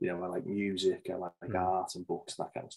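A man talks with a Liverpool accent. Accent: Scouse (Liverpool). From Liverpool, England. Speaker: safety manager and author; podcast guest. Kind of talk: interview conversation. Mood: relaxed, chatty. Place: home room. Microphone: video call.

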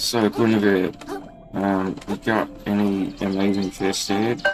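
Over clear music in the background, a man mumbles at a fairly slow pace in a fairly low pitch with monotone, flat intonation. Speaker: game streamer. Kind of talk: casual gaming commentary. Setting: home microphone with ambient background sounds. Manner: mumbling. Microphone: phone near.

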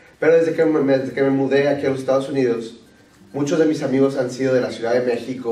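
A man speaks at a fast pace in a dark, mellow tone. Strong room echo fills the recording.

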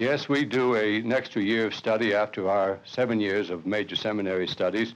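A man's fairly low voice at a fairly quick pace with fairly even intonation. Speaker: priest. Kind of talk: reading a reflection, then interview answers; interview answer. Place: home room. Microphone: old recording.

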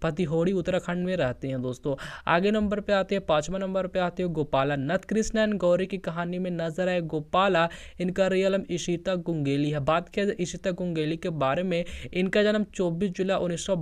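Against a quiet background, a man with a high-pitched voice speaks with fairly even intonation. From Bihar, Patna. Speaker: YouTube channel narrator. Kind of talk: informal video narration to viewers.

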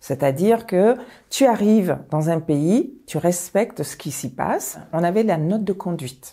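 A woman with a dark, mellow tone and lively intonation speaks at a fairly slow pace against a quiet background. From Mali, then Paris suburbs from age 7. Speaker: high school principal; school head teacher recounting career. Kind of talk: personal testimony. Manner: hesitant, many filler pauses. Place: home room. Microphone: lapel.

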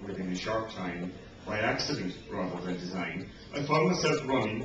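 Noticeable background noise sits under the voice, and the room echo is audible. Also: man. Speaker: reader at a book event. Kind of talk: public reading. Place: bar. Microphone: camera far.

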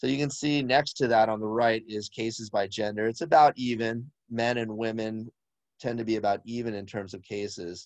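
Over a quiet background, a man speaks in a medium pitch, in an unremarkable speaking voice, with a dry sound and no echo. His pace is moderate and his intonation fairly even. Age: 50s. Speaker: physician; presenter. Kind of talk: webinar presentation. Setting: video call. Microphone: video call.

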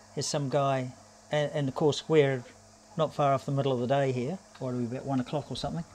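A man talks at a fairly quick pace and medium pitch. His tone is slightly mellow, with fairly even intonation.

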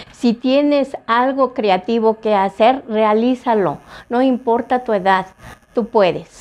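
A woman speaks at a very slow pace, with very even loudness and ordinary pitch variation. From Salamanca, Guanajuato, Mexico; Guanajuato, Mexico. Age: 60s. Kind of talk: interview; interview answer. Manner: halting, many fillers. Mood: warm, encouraging. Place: home room.

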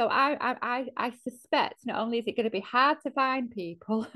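Over a quiet background, a woman talks in a Mancunian accent. Her pitch is high and her pace moderate. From north Manchester, England. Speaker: organisation chief executive; panelist. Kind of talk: panel discussion. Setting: video call. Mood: earnest, reflective. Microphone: earbuds.

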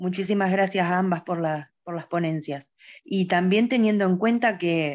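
A woman's unremarkable speaking voice, fairly low in pitch with ordinary pitch variation, over a quiet background. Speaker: audience participant. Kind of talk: Q&A comment. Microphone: video call.

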